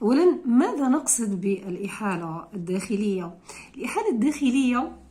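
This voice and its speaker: A woman speaks fairly slowly at a fairly high pitch, somewhat breathy. Audible room echo surrounds her voice. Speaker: law lecturer. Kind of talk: lecture. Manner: halting.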